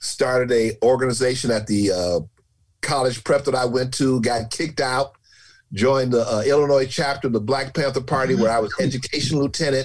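This man talks fairly quickly at a medium pitch, with ordinary pitch variation. His voice is somewhat breathy and his loudness is very even. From Chicago, US. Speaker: storyteller. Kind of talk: interview storytelling.

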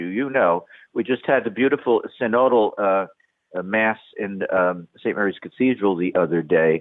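The speaker is a man with a New York accent. His fairly low voice shows ordinary pitch variation. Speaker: priest. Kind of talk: radio interview.

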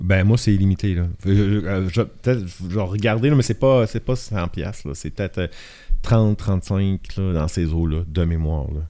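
A man with a very deep, low voice and a dark, mellow tone, fairly slow pace and ordinary pitch variation. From Acadian Peninsula, northern New Brunswick (Shippagan). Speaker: photographer. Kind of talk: casual chat.

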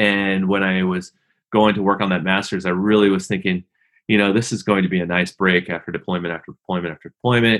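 A man's very deep, low voice, flat and monotone, at a very fast pace. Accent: American. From US Pacific Northwest, Seattle area. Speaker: retired Marine pilot, nonprofit CEO. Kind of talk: interview.

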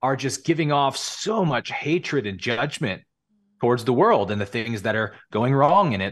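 A man speaks in a West Coast accent with a fairly high pitch. His intonation is lively, and the background is quiet. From California. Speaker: spiritual teacher. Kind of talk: casual interview.

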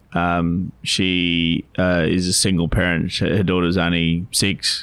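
Deep and very low in pitch, this man speaks with an Australian accent. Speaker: financial advisor. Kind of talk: casual chat. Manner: halting.

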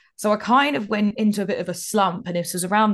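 A fairly brisk woman's voice with an English accent. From England, childhood years in North Cyprus. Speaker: broadcast technical specialist. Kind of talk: interview. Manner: expressive.

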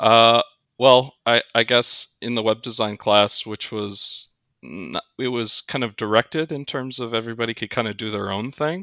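With ordinary pitch variation and a moderate pace, an unremarkable speaking voice carries the words. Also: man, medium pitch for a man. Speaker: automotive engineer. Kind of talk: interview.

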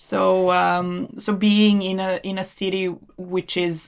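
A woman speaks with a Serbian accent at a medium pitch. The recording is very clean, with a silent background. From Serbia, Belgrade. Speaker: immigrant guest, research advisor. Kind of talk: interview. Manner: laughs often.

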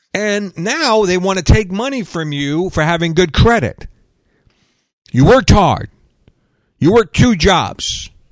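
On a very clean recording with a silent background, a man with a high pitch speaks at a fairly slow pace, using lively intonation and long, frequent pauses. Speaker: radio host and preacher. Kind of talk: angry rant: conspiracy-laden sermon against wokeism and a 'satanic' global system. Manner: fired-up, ranting, sarcastic, preachy; casual and joking.

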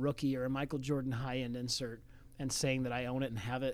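In a very clean recording with a silent background, a man speaks fairly quickly in an ordinary speaking voice at medium pitch. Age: 40s. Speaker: sports card shop owner. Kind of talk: casual interview.

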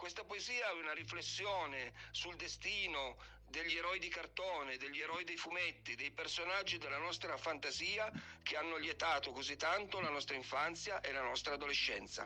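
A man with a normal speaking voice, fairly high in pitch, ordinary pitch variation and a moderate pace. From Piedmont, Italy. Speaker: poet. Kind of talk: poetry reading. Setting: recorded voice message.

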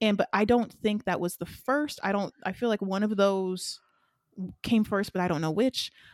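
A Southern US accent at a moderate pace, with ordinary pitch variation and a dry, close sound free of echo. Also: woman, medium pitch for a woman. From US South. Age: 20s. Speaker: podcast co-host. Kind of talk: casual chat.

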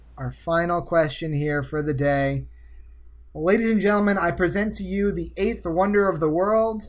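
A man with an American accent speaks at a high pitch and a moderate pace. Audible room echo surrounds his voice. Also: ordinary pitch variation. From US Northeast. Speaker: game show host. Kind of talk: quiz show.

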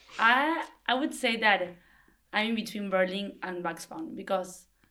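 A woman's bright, sharp voice at medium pitch, with a Spanish accent and a moderate pace. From Argentina. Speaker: language assistant and textile designer. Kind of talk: group interview.

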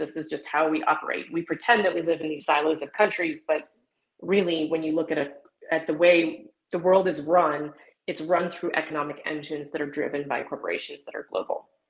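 Fairly quick speech from a woman with a fairly low pitch and an American accent, her intonation fairly even. It is an unremarkable speaking voice. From US Southwest, southwest New Mexico. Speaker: economist and sustainability consultant. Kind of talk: interview.

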